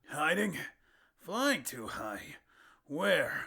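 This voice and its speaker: Using a raspy put-on character voice, a man speaks at a high pitch with very wide pitch swings. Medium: read story. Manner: brash, confident.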